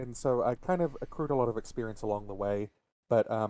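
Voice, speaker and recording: A man with a New Zealand accent, a dark, mellow tone and ordinary pitch variation. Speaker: game developer. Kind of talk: casual interview.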